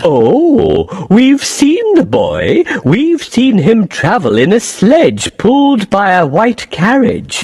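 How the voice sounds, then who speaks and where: In a put-on character voice with fairly high pitch, the speaker goes at a very slow pace with hardly any pauses. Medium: audio drama.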